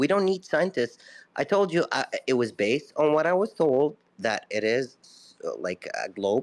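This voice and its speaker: A man with a non-native accent, fairly high pitch and very wide pitch swings, moderate pace, quiet background. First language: not English. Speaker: caller in a live audio room. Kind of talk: casual debate.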